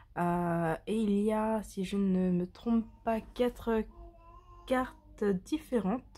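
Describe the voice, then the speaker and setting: At a very slow pace, a woman speaks with a somewhat breathy, dark, mellow tone, medium pitch and ordinary pitch variation. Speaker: tarot and oracle card reader. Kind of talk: product presentation. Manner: hesitant, many fillers.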